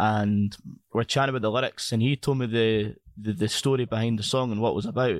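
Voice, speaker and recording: A man in a Scottish accent speaks at a very fast pace, with fairly even intonation and very even loudness. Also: medium pitch for a man. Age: 20s. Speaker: podcast host. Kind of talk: casual interview chat. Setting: video call.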